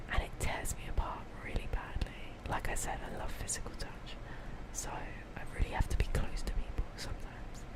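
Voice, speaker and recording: Noticeable background noise sits under a woman whispering at a moderate pace. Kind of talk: ASMR roleplay. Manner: whispered, soft-spoken.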